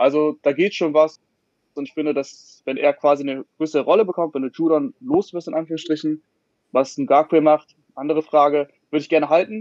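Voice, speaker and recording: A man with an ordinary speaking voice talks at a fairly quick pace in a fairly high pitch, with ordinary pitch variation. The sound is dry and close, with no echo. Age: 20s. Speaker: online sports editor and football podcaster. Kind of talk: casual panel discussion.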